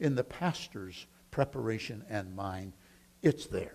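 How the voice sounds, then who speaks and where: With a plain, everyday voice, a man speaks at a fairly slow pace using lively intonation. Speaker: preaching professor. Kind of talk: teaching talk about preaching.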